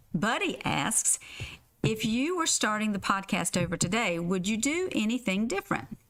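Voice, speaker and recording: Speaking in a Southern US accent, a woman uses a fairly high pitch with very wide pitch swings, very even loudness and a moderate pace. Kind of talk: reading listener questions.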